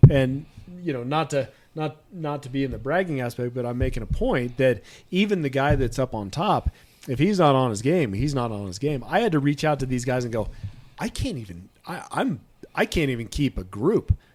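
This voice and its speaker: A man with an American accent, an ordinary speaking voice, fairly high pitch, lively intonation and a moderate pace. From Lake Tahoe, California. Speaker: mountain athlete and hunting show host. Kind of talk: casual podcast chat.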